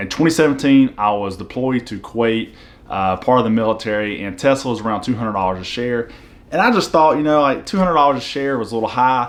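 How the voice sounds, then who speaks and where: Very fast speech in a Southern US accent, ordinary pitch variation, and noticeable background noise. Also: man. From US South. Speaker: finance YouTuber, military veteran. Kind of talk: casual explainer video.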